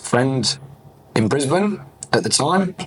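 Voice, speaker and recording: A man with an English accent speaks at a moderate pace over noticeable background noise. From England. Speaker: fitness business owner. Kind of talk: podcast interview.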